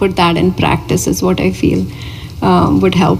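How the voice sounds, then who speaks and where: A woman speaks at a moderate pace with music playing behind her. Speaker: spiritual teacher. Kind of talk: Q&A after a spiritual discourse.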